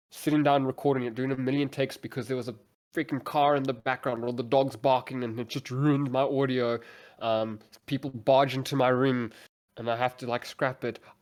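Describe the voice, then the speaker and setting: Mumbling at a fairly quick pace, a man speaks with monotone, flat intonation. The recording is very clean with a silent background. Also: medium pitch for a man. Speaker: content creator. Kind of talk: casual chat.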